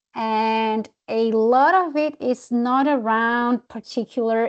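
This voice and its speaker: A woman with a non-native accent speaks at a fairly high pitch with ordinary pitch variation. The background is quiet. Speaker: presenter, wildlife management expert. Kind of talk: webinar Q&A answer.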